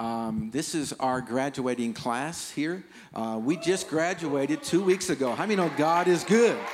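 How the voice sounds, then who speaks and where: A man with a plain, everyday voice speaks at a fairly slow pace and fairly high pitch, using lively intonation. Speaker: missionary pastor. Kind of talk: sermon.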